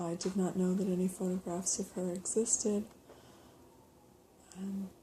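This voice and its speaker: A soft-spoken woman talks at a medium pitch and a fairly slow pace. Her tone is dark, mellow and somewhat breathy, with monotone, flat intonation. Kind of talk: ASMR show and tell.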